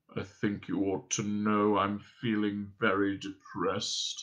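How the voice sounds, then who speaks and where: A man performs a put-on character voice. It sits fairly low in pitch. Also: fairly slow pace. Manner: hopeless.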